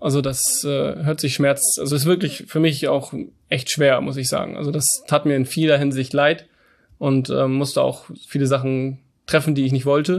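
Against a quiet background, a man speaks at a moderate pace and a fairly high pitch, keeping his intonation fairly even. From northern Germany, Hamburg. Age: 30s. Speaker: business owner. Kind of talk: interview. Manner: halting, many fillers.

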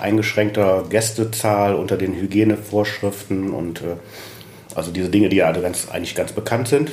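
A man speaks at a fairly low pitch with fairly even intonation. Noticeable background noise and audible room echo fill the recording. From Düsseldorf, Germany. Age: 50s. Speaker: restaurant owner and chef. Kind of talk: interview.

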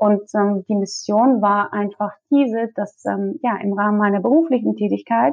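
In a Russian accent, a woman talks at a medium pitch. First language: Russian (speaking German). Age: 30s. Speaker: career coach. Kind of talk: interview. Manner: hesitant with many fillers.

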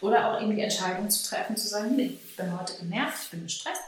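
A woman talks at a very fast pace with ordinary pitch variation, her voice carrying audible room echo over noticeable background noise. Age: 30s. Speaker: dog trainer educator. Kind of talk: interview.

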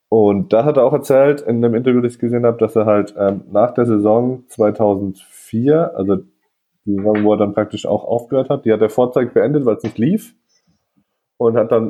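A man with a medium pitch uses a normal speaking voice, keeping a moderate pace and ordinary pitch variation. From northern Germany. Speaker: podcast host. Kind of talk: casual chat. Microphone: recorded on phones, scratchy audio.

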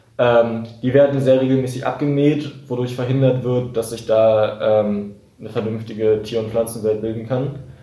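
In a room with audible echo, a man speaks in a flat monotone. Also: medium pitch for a man, moderate pace. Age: young. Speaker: climate activist. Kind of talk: interview.

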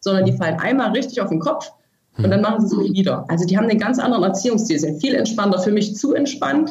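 A very fast, lively-sounding woman's voice at medium pitch, with very even loudness throughout. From Germany, from a small village. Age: 30s. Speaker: author. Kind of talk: interview. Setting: remote call.

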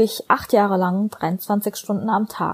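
A normal speaking voice with fairly even intonation comes through dry and close with no echo, on a very clean recording with a silent background. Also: woman. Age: 20s. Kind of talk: recorded personal statement. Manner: scripted, read-aloud style.

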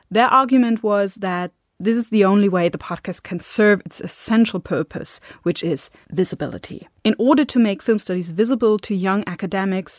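A woman with a German accent, medium in pitch, at a moderate pace, in a very clean recording with a silent background and a dry, close sound with no echo. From Germany. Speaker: podcast host and film scholar. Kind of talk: scripted podcast introduction.

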